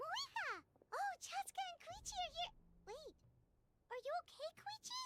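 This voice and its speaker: An extremely high, squeaky put-on character voice talks here. It leaves long, frequent pauses. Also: moderate pace. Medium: video game.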